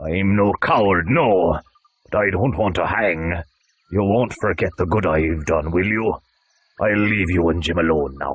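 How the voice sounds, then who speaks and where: A man puts on a character voice that is very deep and low. He keeps a moderate pace. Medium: read story. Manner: forceful, calculating.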